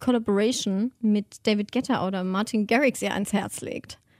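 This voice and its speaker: An ordinary speaking voice, a woman's fairly high pitch carries fairly even intonation in a dry, close sound with no echo. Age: 20s. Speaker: podcast co-host. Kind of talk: casual chat.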